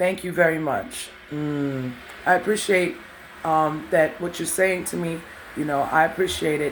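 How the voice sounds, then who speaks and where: A woman's raspy put-on character voice, fairly low in pitch and fairly even in intonation, at a moderate pace over light background noise. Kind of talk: mature, composed. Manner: calm.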